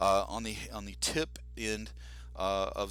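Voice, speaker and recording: Heard with audible room echo, a man speaks with lively intonation, a bright, sharp tone, and vocal fry. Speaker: science teacher. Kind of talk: lecture.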